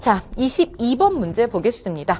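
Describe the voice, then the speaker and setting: Fairly slow female speech with very wide pitch swings and noticeable background noise. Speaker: Korean language exam instructor. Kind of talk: lecture.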